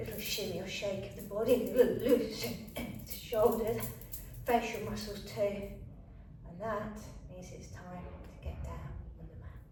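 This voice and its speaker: Over noticeable background noise and audible room echo, a woman speaks at a fairly slow pace in a gentle, calm tone, her volume rising and falling sharply. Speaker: fitness and yoga instructor. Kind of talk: guided exercise tutorial. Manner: gentle, calm instructions.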